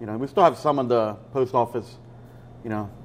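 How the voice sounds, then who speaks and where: A man with a normal speaking voice and an American accent, fairly quick in pace, with fairly even intonation. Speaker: pizza shop owner. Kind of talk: interview.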